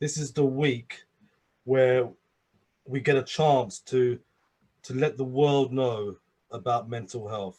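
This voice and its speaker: At a fairly slow pace, a man with a London accent speaks at a medium pitch in a somewhat breathy voice. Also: quiet background. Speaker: addiction and abuse survivor, speaker. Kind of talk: interview. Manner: halting, many repetitions and fillers.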